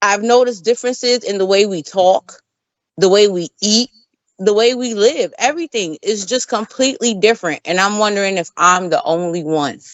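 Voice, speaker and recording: A woman speaks at a medium pitch with a New York accent. Her intonation is lively. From New York, the Bronx. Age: 40s. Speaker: podcast host. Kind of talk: casual chat.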